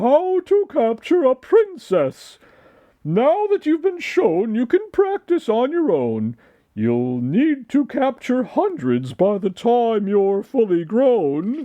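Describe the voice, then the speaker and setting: A man's put-on character voice at an extremely high pitch, at a very slow pace. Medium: read story.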